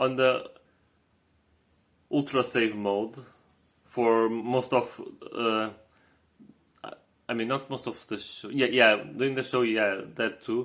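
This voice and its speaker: Speaking in a Portuguese accent at a medium pitch, a man talks very slowly in a flat monotone, leaving long, frequent pauses. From Portugal. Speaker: vlogger. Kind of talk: casual vlog recap. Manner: halting, many fillers and repetitions.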